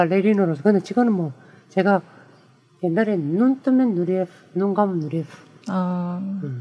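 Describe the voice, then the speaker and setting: The man's pitch is high, with ordinary variation. He keeps a moderate pace broken by long, frequent pauses. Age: 50s. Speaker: ballet dancer. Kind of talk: casual chat.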